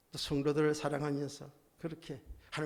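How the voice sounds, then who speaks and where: This man's voice has a bright, sharp tone and an animated delivery. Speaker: pastor. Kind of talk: sermon. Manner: loud.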